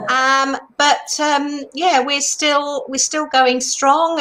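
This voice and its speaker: This woman speaks with a British accent. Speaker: retreat industry mentor. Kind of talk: interview.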